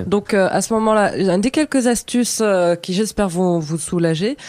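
Moderate pace against a quiet background. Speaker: radio show columnist. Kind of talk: radio segment giving tips. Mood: light, joking. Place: studio.

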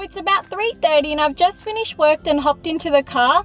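A woman speaks at a high pitch with ordinary pitch variation, the sound dry with no echo. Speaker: parent vlogger. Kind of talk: casual vlog chat. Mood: calm, slightly hopeful. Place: car. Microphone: phone near.

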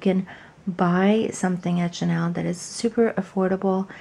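A woman speaks softly at a medium pitch, her intonation fairly even and her tone dark and mellow. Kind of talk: ASMR unboxing. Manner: soft-spoken.

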